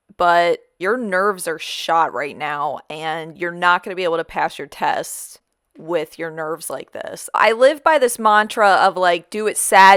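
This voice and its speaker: A woman with a plain, everyday voice speaks at a medium pitch and a fairly slow pace, her intonation lively, in a very clean recording with a silent background. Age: 30s. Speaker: vlogger. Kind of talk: personal storytelling vlog.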